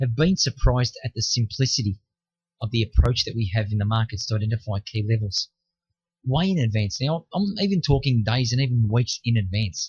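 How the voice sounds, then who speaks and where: Somewhat breathy and medium in pitch, a man speaks at a fairly quick pace with lively intonation. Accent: Australian. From Australia, Melbourne. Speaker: futures trader selling a course. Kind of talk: sales pitch. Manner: direct, conversational.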